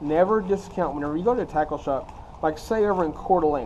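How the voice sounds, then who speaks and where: A man in an American accent at a very fast pace. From Texas. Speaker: fishing YouTuber. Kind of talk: tutorial. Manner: casual, conversational.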